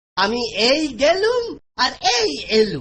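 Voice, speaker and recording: The speaker uses a cartoonish character voice pitched high. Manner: sly.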